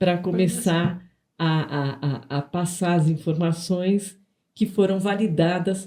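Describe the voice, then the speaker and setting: A woman speaks with a dark, mellow tone at a fairly low pitch. Her pitch varies in an ordinary way. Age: 60s. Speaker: nutritionist and podcast co-host. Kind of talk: casual podcast conversation. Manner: halting, many repetitions and fillers.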